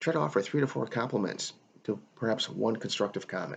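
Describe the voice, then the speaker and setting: A man speaks at a fairly quick pace with lively intonation. His pitch is fairly low. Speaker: hospitality professor. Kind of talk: recorded lecture. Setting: solo video recording. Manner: fast.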